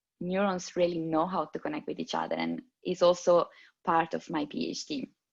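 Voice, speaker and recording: A woman with a fairly low pitch speaks in an Italian accent, her pitch varying in an ordinary way against a quiet background. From Italy. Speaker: neuroscience PhD researcher. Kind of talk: interview. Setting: video call. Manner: halting.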